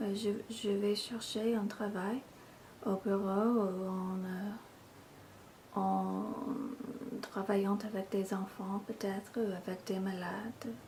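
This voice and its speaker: Against noticeable background noise, a woman talks at a very slow pace. Her pitch is medium and her intonation is monotone and flat. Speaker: ASMR video creator. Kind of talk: casual ramble to camera.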